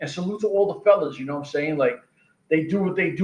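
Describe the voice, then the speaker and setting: A man speaks. He has a New York accent. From New York City (Queens). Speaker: combat sports podcast host. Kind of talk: casual monologue podcast. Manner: animated.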